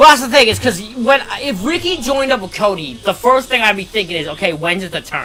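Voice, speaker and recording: Music plays behind a man whose raised, projected voice sits high in pitch. He moves at a fairly quick pace with lively intonation. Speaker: wrestling watch-along streamer. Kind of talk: live stream chat commentary. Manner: loud; halting, repeats words.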